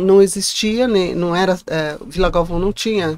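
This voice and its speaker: This is a normal speaking voice from a woman with a fairly low pitch. She speaks at a fairly slow pace, and the sound is dry with no echo. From Guarulhos, São Paulo state, Brazil; São Paulo state, Brazil. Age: 60s. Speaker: actress and former teacher; podcast guest. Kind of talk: interview, life story. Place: studio. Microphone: studio mic.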